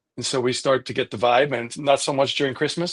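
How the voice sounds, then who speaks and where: An American accent at a fairly quick pace. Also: man. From Switzerland. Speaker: vegan activist. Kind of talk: casual chat.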